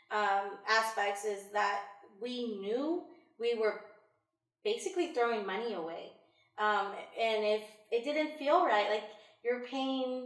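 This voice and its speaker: Audible room echo surrounds a woman speaking with an American accent. Her pitch is fairly high and her pace very slow. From Illinois. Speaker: homeowner, women's center worker. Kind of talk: interview. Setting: at home.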